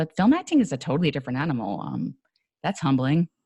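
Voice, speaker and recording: The speech moves at a very fast pace with an American accent. Vocal fry runs through it. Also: woman. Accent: New York accent, noticeable at times. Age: 40s. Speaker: actor and podcast guest. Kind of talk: interview conversation.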